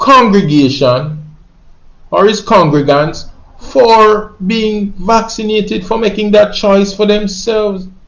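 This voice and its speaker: Speaking very slowly with a Jamaican accent, the voice moves through lively intonation. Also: man. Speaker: reggae singer. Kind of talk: spoken monologue, social commentary.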